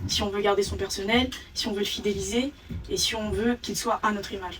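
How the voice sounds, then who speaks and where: A woman talks at a fairly quick pace in a medium pitch with monotone, flat intonation. Noticeable background noise runs underneath. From France, Île-de-France (Sucy-en-Brie). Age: 20s. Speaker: pharmacy owner. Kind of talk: interview.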